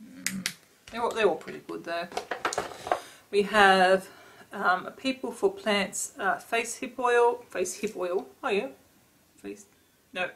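Speaking at a very slow pace with long, frequent pauses, a woman uses an Australian accent and ordinary pitch variation. Her loudness swings widely over light background noise. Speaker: beauty vlogger. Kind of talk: casual product review vlog. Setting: home, talking to camera. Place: home room. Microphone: webcam.

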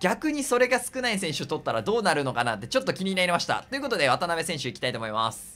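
Man with high pitch and very wide pitch swings, over noticeable background noise. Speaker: gaming YouTuber. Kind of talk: game commentary. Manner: animated.

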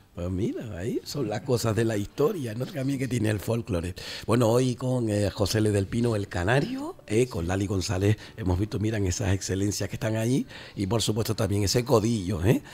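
A man with a fairly low pitch and a dark, mellow tone speaks somewhat breathily at a moderate pace with ordinary pitch variation. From Canary Islands. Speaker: radio host. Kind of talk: radio talk show. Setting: studio. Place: studio. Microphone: studio mic.

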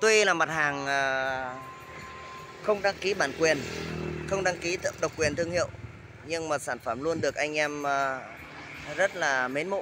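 Over noticeable background noise, a man speaks at a very slow pace in a dry sound with no echo. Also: ordinary pitch variation. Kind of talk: product promo commentary. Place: street. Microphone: phone near.

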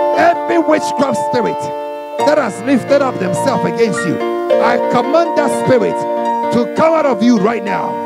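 A man speaks at a moderate pace. Loud music fills the background. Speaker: deliverance preacher / prayer minister. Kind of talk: charismatic deliverance prayer / spiritual warfare preaching. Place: church. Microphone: handheld.

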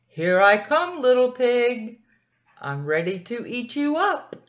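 A put-on character voice, female-sounding and high-pitched, with very wide pitch swings and a fairly slow pace. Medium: read story. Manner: sly, threatening.

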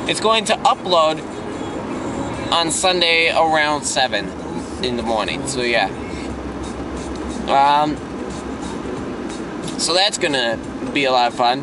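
Over background music, a man speaks at a fairly slow pace with long, frequent pauses. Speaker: vlogger. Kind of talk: casual vlog chat. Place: car. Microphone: phone near.

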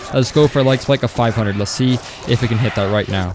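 A man with an American accent at a very fast pace, with ordinary pitch variation and noticeable background noise. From Florida. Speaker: gaming streamer. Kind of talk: casual live stream chat. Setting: live stream. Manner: fast talker; excitable.

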